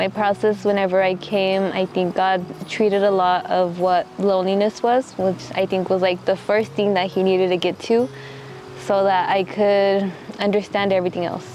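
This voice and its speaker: With an American accent, a woman speaks at a moderate pace and medium pitch, with fairly even intonation and very even loudness, over noticeable background noise. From Texas, Midland. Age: 20s. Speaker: missionary. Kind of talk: documentary interview testimony. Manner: reflective, halting.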